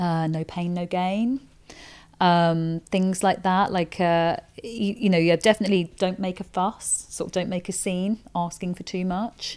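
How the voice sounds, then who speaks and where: An unremarkable speaking voice moves at a fairly slow pace with fairly even intonation, recorded very cleanly against a silent background. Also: woman, medium pitch for a woman. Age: 40s. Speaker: performance coach and author. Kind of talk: casual interview. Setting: penthouse suite on Ibiza, own microphone.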